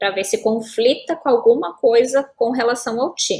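Speaking fairly slowly, a woman talks with a southern Brazilian accent. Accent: gaúcho. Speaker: lawyer specialising in digital law. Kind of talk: interview. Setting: live stream.

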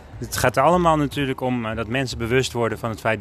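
Lively intonation marks this man's a plain, everyday voice. He speaks at a fairly quick pace and medium pitch. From Netherlands, Alkmaar. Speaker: podcast interviewer. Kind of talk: casual interview.

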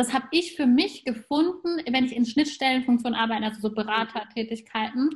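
Speaking in a high pitch, a woman talks with hardly any pauses. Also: ordinary pitch variation, fairly quick pace. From Germany, grew up between German and Persian culture. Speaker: podcast host. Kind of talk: casual interview chat.

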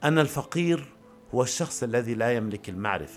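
The speaker is a man with a medium pitch. He talks at a moderate pace with lively intonation. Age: 40s. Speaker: podcaster. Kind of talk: improvised personal monologue. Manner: halting, many pauses.

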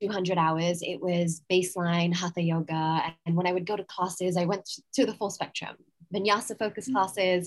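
In an American accent, a woman speaks at a medium pitch. Her pace is moderate and her intonation fairly even. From England. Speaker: yoga teacher and mindset coach. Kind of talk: interview. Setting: outdoors in a garden. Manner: calm.

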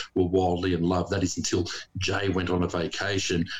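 A man is speaking. His voice is somewhat breathy. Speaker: farmer. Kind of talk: casual banter.

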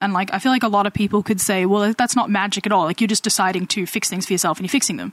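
A woman with an American accent talks at a very fast pace and a medium pitch, with fairly even intonation and hardly any pauses. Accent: Australian with some American tinge. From Australia. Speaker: guest. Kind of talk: casual chat.

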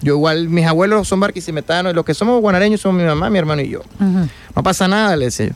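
Talking at a very fast pace, a man uses a high pitch with ordinary variation. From Venezuela, Guanare. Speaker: orchestra conductor. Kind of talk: radio interview.

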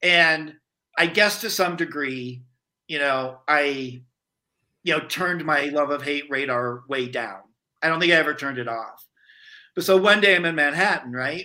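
Speaking with an American accent, a man uses a fairly high, bright, sharp voice with ordinary pitch variation. He keeps a moderate pace but stops for long, frequent pauses. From US Midwest (rural Iowa). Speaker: movement founder and storytelling facilitator. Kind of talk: casual interview chat.

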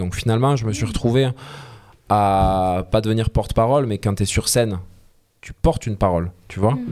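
At a fairly quick pace, a man with a fairly low pitch speaks with ordinary pitch variation. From southern France, Alès (Gard). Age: 30s. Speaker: singer-songwriter. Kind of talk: interview. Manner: animated.

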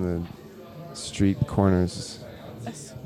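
Through noticeable background noise comes a man's very deep, low pitch. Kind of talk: casual chat. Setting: bar. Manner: animated.

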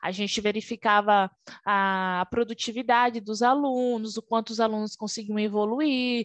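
A woman's plain, everyday voice, fairly high in pitch, with ordinary pitch variation and a fairly slow pace, in a dry, close sound with no echo. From Brazil, Alagoas (Northeast). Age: 20s. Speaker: Scrum Master, former QA analyst. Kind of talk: interview.

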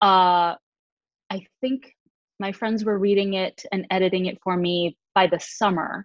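A woman with a plain, everyday voice and an American accent talks at a fairly slow pace, at a medium pitch with fairly even intonation. The sound is dry and close with no echo. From Michigan. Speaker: author and voice actress. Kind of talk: casual interview.

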